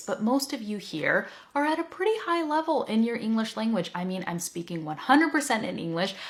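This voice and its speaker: Very wide pitch swings mark a woman's animated tone as she talks. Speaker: English teacher. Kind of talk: teaching talk to learners.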